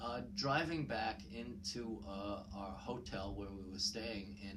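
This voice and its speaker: With noticeable background noise and audible room echo, a man in a New York accent speaks at a very slow pace. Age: 60s. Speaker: YouTube commentator. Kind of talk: personal storytelling monologue. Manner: hesitant, many fillers.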